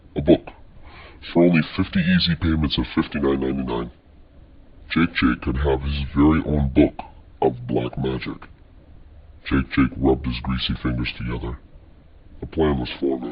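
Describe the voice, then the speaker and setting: Using a put-on character voice, a man speaks at a moderate pace in a very deep, low pitch, leaving long, frequent pauses. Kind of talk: mock-epic storytelling. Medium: machinima.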